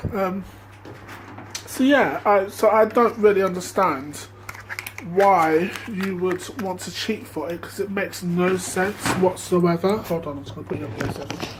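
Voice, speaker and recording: A man's high-pitched voice with ordinary pitch variation and big swings in loudness, against noticeable background noise. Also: moderate pace. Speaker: vlogger. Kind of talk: casual monologue.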